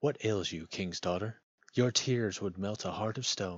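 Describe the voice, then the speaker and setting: A man puts on a character voice at a fairly low pitch. He keeps a moderate pace. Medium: read story. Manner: courteous, persistent.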